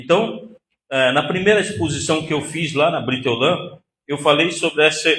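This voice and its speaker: Against audible room echo, a man with a bright, sharp tone and ordinary pitch variation talks at a fairly slow pace. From Northeast Brazil. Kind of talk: lecture. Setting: synagogue hall with audience.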